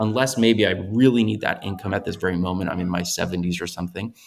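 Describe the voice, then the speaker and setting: A man speaks with an American accent and a fairly low pitch, using ordinary pitch variation. The recording is very clean with a silent background, and he has an ordinary speaking voice. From US Midwest, Chicago. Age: young. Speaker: investor and business owner. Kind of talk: interview conversation.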